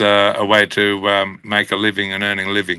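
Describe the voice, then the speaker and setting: Speaking in an Australian accent, the man has a fairly low pitch. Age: 60s. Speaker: country musician. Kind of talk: interview.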